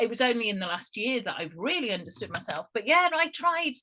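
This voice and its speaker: Loud and fairly high-pitched, a woman with an English accent makes very wide pitch swings. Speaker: guest. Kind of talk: casual chat. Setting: video call.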